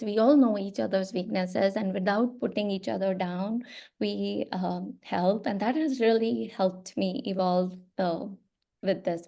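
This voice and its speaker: A woman with an Indian accent speaks at a moderate pace in a medium-pitched, dark, mellow voice with ordinary pitch variation, against a quiet background. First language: Hindi. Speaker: children's book author. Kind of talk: interview. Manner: hesitant, many fillers.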